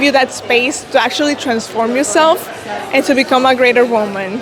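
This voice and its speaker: Ordinary pitch variation comes through audible room echo and noticeable background noise. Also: woman. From El Salvador. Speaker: beauty pageant contestant. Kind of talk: interview.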